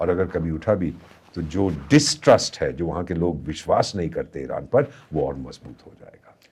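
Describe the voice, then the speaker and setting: A man speaks in a very deep, low register with vocal fry. His pace is moderate, and his loudness swings widely. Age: 70s. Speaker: former ambassador, foreign affairs commentator. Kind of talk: podcast interview.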